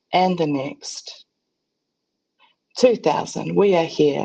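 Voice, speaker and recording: A woman's very deep, low voice, dark and mellow in tone, in a New Zealand accent. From New Zealand, Tūhoe region. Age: young. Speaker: Māori visual artist and researcher. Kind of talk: conference presentation. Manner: halting, many fillers.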